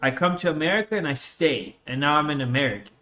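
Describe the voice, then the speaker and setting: Speaking at a fairly quick pace, a man with a slight Russian accent has a fairly high pitch. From born in Russia, raised on US West Coast from age 11. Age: 20s. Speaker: gaming streamer. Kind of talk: casual chat.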